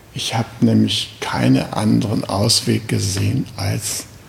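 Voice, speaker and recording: A very deep, low-pitched man at a very slow pace, with very wide pitch swings, over noticeable background noise. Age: 70s. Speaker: Zen teacher. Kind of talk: dharma talk. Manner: casual, with fillers.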